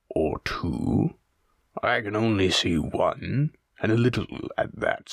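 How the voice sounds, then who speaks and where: In a put-on character voice, a man growls in a gruff way at a fairly slow pace. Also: medium pitch for a man. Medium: read story. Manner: blunt, gruff.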